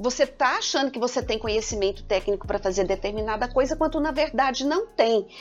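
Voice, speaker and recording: Music in the background behind a woman whose pitch swings very widely. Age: 50s. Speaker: engineering professor. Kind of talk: podcast interview. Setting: studio.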